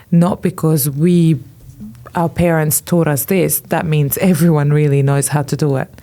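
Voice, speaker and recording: A woman speaks at a moderate pace with a non-native accent and fairly even intonation. Her very deep, low pitch carries a dark, mellow tone. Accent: foreign. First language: not English. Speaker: fashion influencer. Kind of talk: podcast interview. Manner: hesitant, many fillers.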